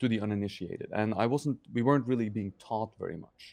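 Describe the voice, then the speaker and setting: Speaking at a very fast pace with a Norwegian accent, a man has a medium pitch, a dark, mellow tone and ordinary pitch variation. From Norway, Oslo. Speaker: sculptor and sculpture teacher. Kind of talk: interview. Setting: studio. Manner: halting, many fillers.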